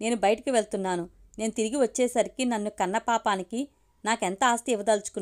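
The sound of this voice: Unforced reading voice throughout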